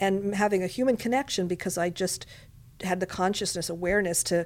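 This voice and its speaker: This woman has an unremarkable speaking voice at a medium pitch. She talks at a fairly quick pace. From Montreal, Quebec, Canada. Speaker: casting director and film director. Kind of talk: interview. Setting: studio.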